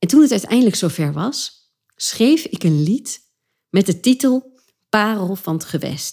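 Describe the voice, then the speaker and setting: A woman speaks at a fairly slow pace in a somewhat breathy voice of medium pitch. Her tone is dark and mellow, and her pitch swings very widely. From Achterhoek, eastern Netherlands. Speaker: podcast host and creative entrepreneur, former actress. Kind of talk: solo podcast monologue. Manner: animated.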